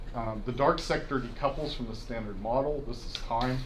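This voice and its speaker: A man speaks at a moderate pace. His intonation is fairly even, and room echo is audible. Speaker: physics professor giving a colloquium talk. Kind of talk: lecture. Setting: university colloquium with audience.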